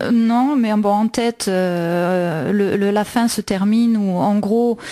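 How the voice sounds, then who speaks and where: A woman's fairly even intonation at a very slow pace. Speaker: radio host. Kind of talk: radio show presentation on literature and music.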